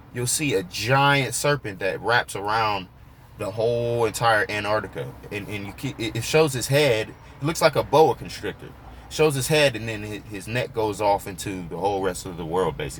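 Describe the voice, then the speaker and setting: The speech moves at a moderate pace with hardly any pauses, lively intonation, big swings in loudness and vocal fry. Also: man, fairly low pitch for a man. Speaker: YouTuber discussing fringe history. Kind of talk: casual vlog monologue. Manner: freewheeling, halting with repetitions.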